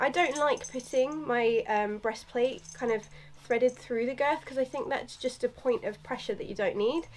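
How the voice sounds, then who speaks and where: Moderate pace with ordinary pitch variation. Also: woman. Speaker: equestrian vlogger. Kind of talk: casual vlog chat. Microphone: camera far.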